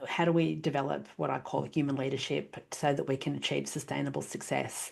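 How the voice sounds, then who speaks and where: A woman's very deep, low-pitched voice with an Australian accent, over a quiet background. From Australia, New South Wales (Gosford). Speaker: leadership advisor and speaker. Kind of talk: podcast interview.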